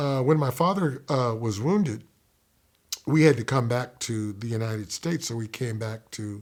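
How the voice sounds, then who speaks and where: A man with an American accent, medium pitch, ordinary pitch variation and a moderate pace, on a very clean recording with a silent background. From US military bases, Okinawa and Kentucky. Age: 60s. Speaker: poet. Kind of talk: interview, personal life story. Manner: hesitant, many fillers.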